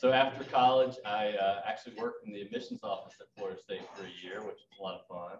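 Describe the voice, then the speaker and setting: Against noticeable background noise, a man talks at a very fast pace. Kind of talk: club talk about his background. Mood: light, joking. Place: hall. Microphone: podium.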